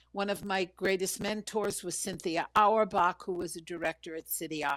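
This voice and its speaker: Over music in the background, a woman with an American accent speaks at a moderate pace and medium pitch with fairly even intonation, in a dry, close sound with no echo. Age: 60s. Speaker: vocal coach. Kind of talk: interview.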